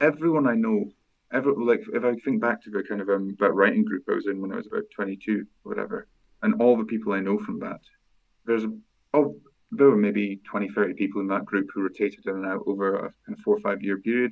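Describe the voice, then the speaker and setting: In a Scottish accent, a man talks at a very fast pace. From Aberdeen, Scotland. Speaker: fantasy author. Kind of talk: podcast interview answer.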